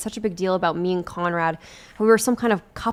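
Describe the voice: Ordinary pitch variation shapes this plain reading aloud.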